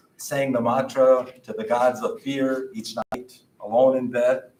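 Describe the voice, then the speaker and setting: A man speaks with an American accent in a normal speaking voice. His pitch is fairly high, with ordinary pitch variation. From Oneida Reservation, northeastern Wisconsin. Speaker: poet and author. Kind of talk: poetry reading.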